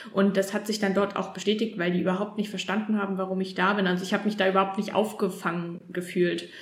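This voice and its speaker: Woman at a medium pitch, very fast pace and monotone, flat intonation, with hardly any pauses, noticeable background noise and audible room echo. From Thuringia, Erfurt. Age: 20s. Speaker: new mother. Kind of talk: interview testimony. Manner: hesitant, many fillers.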